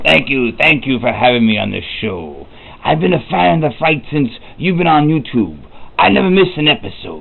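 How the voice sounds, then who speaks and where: Over light background noise, a man puts on a character voice at a medium pitch, moving at a moderate pace with very wide pitch swings. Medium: audio drama. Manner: grandiose, theatrical.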